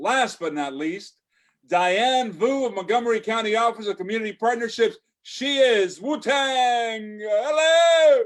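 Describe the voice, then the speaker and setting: A man's extremely high-pitched voice with lively intonation. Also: fairly slow pace. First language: Spanish. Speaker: event emcee. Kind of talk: event hosting. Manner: animated.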